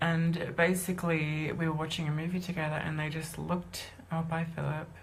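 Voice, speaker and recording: A woman's fairly low, flat, monotone voice at a fairly quick pace, with audible room echo. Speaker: singer and musician coming out as transgender. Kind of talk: live stream personal announcement. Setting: live video stream. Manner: fast; halting. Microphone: low quality video.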